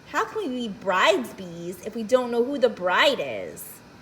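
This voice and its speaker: Using a put-on character voice, a woman speaks in a high pitch at a moderate pace over clear background noise. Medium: read story. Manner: eager, chattering.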